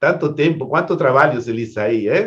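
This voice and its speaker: A man speaks with lively intonation. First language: Spanish (speaking Portuguese). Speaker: event host, astrologer. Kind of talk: online event introduction. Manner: halting, repeats words.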